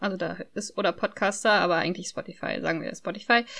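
A woman's medium-pitched voice at a moderate pace, fairly even in intonation, over a quiet background. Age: 20s. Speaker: podcaster. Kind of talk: casual chat.

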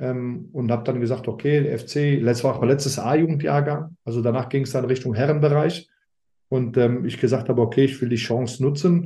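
A man's somewhat breathy voice, dark and mellow in tone, medium in pitch, fairly quick, with fairly even intonation. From Germany, Rhineland near Aachen (Alsdorf). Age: 50s. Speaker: former footballer, sporting director. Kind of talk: interview. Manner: halting, many fillers.

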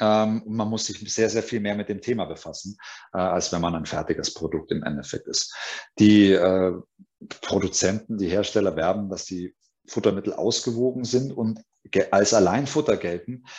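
Speaking at a moderate pace with long, frequent pauses, a man uses a fairly low pitch and ordinary pitch variation. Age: 40s. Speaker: pet food company sales manager. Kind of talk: webinar presentation.

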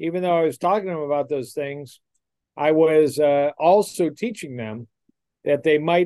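A fairly slow delivery with a Midwestern American accent and fairly even intonation. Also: man. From US Midwest, Detroit, Michigan. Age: 60s. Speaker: cardiologist. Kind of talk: interview.

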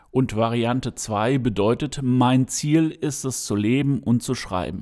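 Very slowly, a man speaks in a medium pitch with a dark, mellow tone. The recording is very clean with a silent background. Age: 50s. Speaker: podcaster and aspiring writer. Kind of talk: solo podcast monologue. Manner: hesitant, many filler sounds.

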